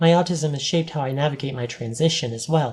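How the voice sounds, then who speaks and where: A woman's very deep, low, somewhat breathy voice with a dark, mellow tone, ordinary pitch variation and a fairly quick pace. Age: 40s. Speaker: vlogger. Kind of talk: personal vlog monologue. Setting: on camera, home video.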